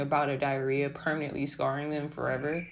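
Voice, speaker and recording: A woman mumbles at a very fast pace in an American accent. Her pitch is very deep and low. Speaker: book reviewer. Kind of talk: book review narration. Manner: mumbling.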